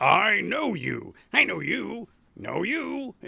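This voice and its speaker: A raspy, put-on character voice from a man at a very slow pace. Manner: repetitive, varied intonation.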